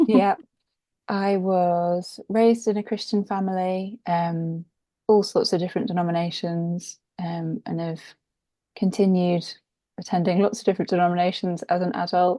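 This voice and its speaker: Over a very clean recording with a silent background, a woman speaks at a moderate pace and medium pitch, her tone dark and mellow and her intonation fairly even. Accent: English. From England, London. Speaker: author and podcast guest. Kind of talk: interview conversation.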